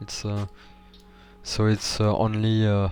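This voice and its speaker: Over music in the background, a man speaks at a very slow pace in a fairly low voice. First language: not English. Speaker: gaming YouTuber. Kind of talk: tutorial. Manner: halting, many fillers; awkward delivery.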